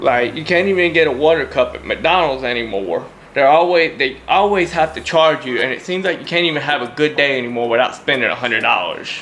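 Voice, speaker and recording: With music in the background, a man in a Louisiana accent talks at a moderate pace and fairly high pitch, with ordinary pitch variation. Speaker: YouTuber reviewing gear. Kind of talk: casual show-and-tell.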